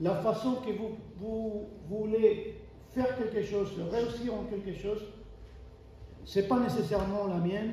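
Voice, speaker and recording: Noticeable background noise and audible room echo surround a high-pitched man. He speaks very slowly with fairly even intonation and long, frequent pauses. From Argentina, Buenos Aires. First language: Spanish (speaking French). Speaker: preacher. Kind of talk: sermon. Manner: halting, many fillers and restarts.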